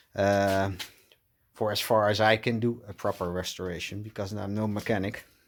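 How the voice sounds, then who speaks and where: The speaker has a Dutch accent and a flat, monotone delivery at a moderate pace. The recording is very clean, with a silent background. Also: man, fairly low pitch for a man. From Netherlands. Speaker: car restoration vlogger. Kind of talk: casual vlog walkthrough. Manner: hesitant, many fillers.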